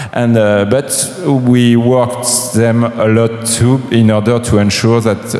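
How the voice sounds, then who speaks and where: Noticeable background noise and audible room echo around a man with a French accent, medium pitch, and monotone, flat intonation. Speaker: game publisher. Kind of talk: panel talk. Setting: stage with audience. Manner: halting.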